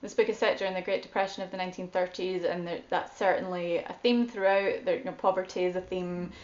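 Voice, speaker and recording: A woman speaks at a fairly quick pace and a medium pitch. Her intonation stays fairly even. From Scotland. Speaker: guest host, book reviewer. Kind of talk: book discussion monologue.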